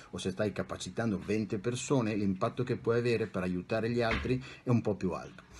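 A man speaks at a fairly quick pace in a somewhat breathy voice. Noticeable background noise runs behind him. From Italy, Bologna; Italy. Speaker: psychologist and life coach; life coach. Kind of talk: interview. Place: home room. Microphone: webcam.

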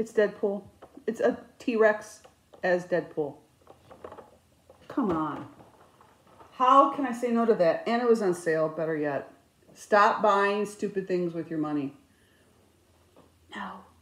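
A woman talks at a fairly slow pace with long, frequent pauses. Her intonation is lively, and the room echo is audible. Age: 50s. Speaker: cross stitch vlogger. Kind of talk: casual chat. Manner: animated. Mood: chatty, humorous storytelling. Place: home room. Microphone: phone near.

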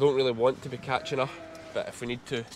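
Over noticeable background noise, a man with a strong Scottish accent talks at a fairly quick pace in a fairly high pitch, his intonation fairly even. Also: dry sound with no echo. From Scotland, Ayrshire; Scotland. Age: 30s. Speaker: sheep farmer. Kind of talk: farm vlog. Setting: outdoors.

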